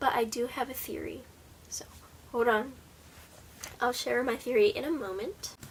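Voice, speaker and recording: Speaking at a moderate pace, a woman swings her pitch very widely over noticeable background noise. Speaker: booktuber. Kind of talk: casual book review vlog.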